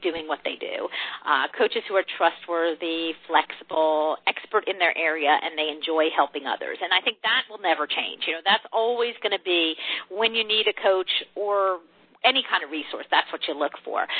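A woman with an ordinary speaking voice talks at a medium pitch and a moderate pace, with ordinary pitch variation. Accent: American. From US Northeast, New Jersey. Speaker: corporate training and coaching broker. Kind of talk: interview.

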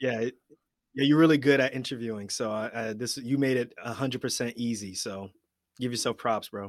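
On a very clean recording with a silent background, a man with an American accent has an ordinary speaking voice of medium pitch, fairly even intonation and a fairly quick pace. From US Northeast (Queens, New York). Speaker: general surgeon and podcast host. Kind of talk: casual interview chat.

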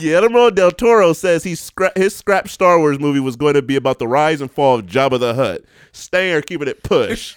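A man with a fairly high pitch speaks at a moderate pace in an animated tone with lively intonation. The sound is dry and close with no echo. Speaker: podcast co-host. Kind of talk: casual chat.

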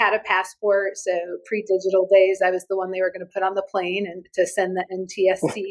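A woman talks in a normal speaking voice. Her pitch is medium. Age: 40s. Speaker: agency CEO. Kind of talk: panel discussion. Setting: office, remote call.

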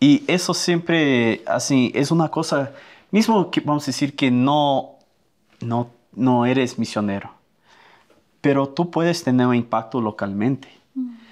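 In a very clean recording with a silent background, a man with a slight Brazilian accent speaks with long, frequent pauses. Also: fairly high pitch for a man, lively intonation, fairly slow pace. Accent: Spanish with a Brazilian Portuguese touch. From Brazil (Amazon river mouth), American family. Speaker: missionary. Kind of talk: casual chat.

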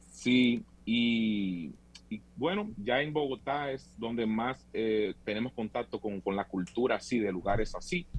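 A man with a normal speaking voice talks at a medium pitch. His pace is fairly slow, with ordinary pitch variation. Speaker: tour operator. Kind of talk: interview.

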